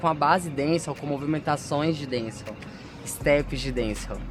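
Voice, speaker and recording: A man talks with noticeable background noise underneath. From Brazil, Goiás (Senador Canedo, near Goiânia). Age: 30s. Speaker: dancer and dance teacher. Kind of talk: interview testimony.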